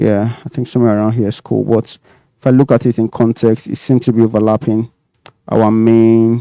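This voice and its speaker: A man speaks at a moderate pace in a flat, monotone delivery with a dark, mellow tone and medium pitch. The sound is dry and close, with no echo. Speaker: 3D modelling streamer. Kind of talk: live tutorial. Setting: live stream. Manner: soft-spoken, not projecting; casual, thinking aloud.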